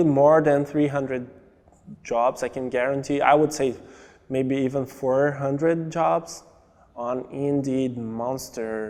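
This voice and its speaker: This speaker talks at a fairly slow pace with ordinary pitch variation and a Brazilian accent. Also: man. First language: Portuguese. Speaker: immigrant, marketing coordinator. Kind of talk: documentary interview.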